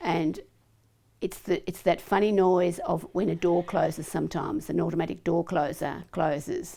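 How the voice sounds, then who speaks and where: In a very clean recording with a silent background, a woman with an Australian accent speaks at a moderate pace. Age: 70s. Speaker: polio survivor. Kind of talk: testimony. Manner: halting.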